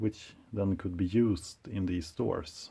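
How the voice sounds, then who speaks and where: A man with a non-native accent speaks at a fairly slow pace with fairly even intonation. His voice sits at a fairly low pitch with a dark, mellow tone. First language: not English. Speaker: collector and video presenter. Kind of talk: show-and-tell presentation. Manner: hesitant, many uh fillers.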